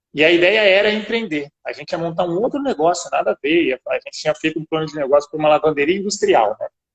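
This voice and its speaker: This man talks at a very fast pace with hardly any pauses. His voice is high-pitched with lively intonation. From São Paulo, Brazil. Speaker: business owner. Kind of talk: interview.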